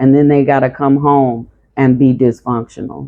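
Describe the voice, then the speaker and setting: A woman speaks at a moderate pace. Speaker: tarot reader. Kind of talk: tarot reading monologue. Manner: monotone; stuttering at times.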